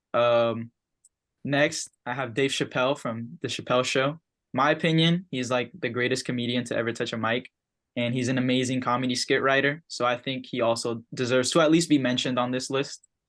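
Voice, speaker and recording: A man at medium pitch talks fairly quickly with fairly even intonation over a quiet background. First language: not English. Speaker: student presenter. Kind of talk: class presentation. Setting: video call. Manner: casual, hesitant with fillers.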